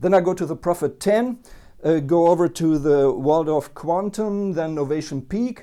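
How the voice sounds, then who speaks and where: Against a quiet background, a man speaks with a non-native accent. His fairly high pitch comes with a dark, mellow tone. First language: not English. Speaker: synthesizer reviewer. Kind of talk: product review. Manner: halting, many fillers.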